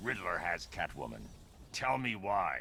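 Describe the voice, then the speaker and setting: A man puts on a raspy character voice with a very deep, low pitch. His pitch swings very widely, and his pace is moderate. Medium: video game. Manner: terse, grave.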